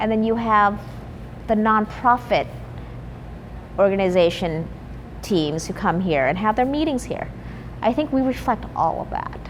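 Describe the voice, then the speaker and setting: With an American accent and lively intonation, a woman speaks at medium pitch and a moderate pace, leaving long, frequent pauses amid noticeable background noise. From US Midwest, Wausau, Wisconsin. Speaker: chef and restaurant owner. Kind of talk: interview. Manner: casual, with fillers.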